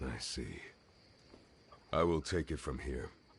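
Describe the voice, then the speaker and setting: A man talks in a put-on character voice with a very deep, low pitch. His pace is fairly slow. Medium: video game. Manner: terse, measured.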